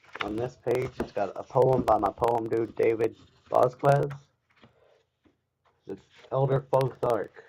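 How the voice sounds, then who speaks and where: A man's somewhat breathy, dark, mellow voice in a Kentucky accent, at a fairly slow pace with long, frequent pauses and fairly even intonation. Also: medium pitch for a man. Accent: Kentucky Southern. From US South, rural Kentucky. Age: 20s. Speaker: woodcarver streamer. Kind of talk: live stream tutorial. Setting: live stream.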